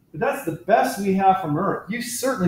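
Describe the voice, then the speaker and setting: Amid audible room echo, a man speaks at a high pitch and moderate pace. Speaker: university astronomy lecturer. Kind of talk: lecture. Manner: casual, conversational.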